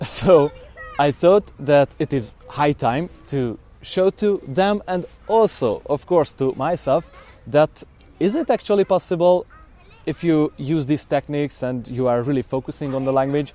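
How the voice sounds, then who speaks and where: Here a man talks at a fairly slow pace in a Hungarian accent. His pitch sits fairly high. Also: ordinary pitch variation. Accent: Hungarian accent in English, noticeable. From Hungary. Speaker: language learning vlogger. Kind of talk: documentary-style talk to camera. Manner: hesitant, with fillers.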